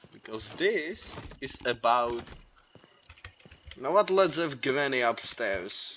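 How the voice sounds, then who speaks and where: With a non-native accent, this speaker talks at a very slow pace over noticeable background noise. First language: not English. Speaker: gaming youtuber. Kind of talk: gameplay commentary. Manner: animated.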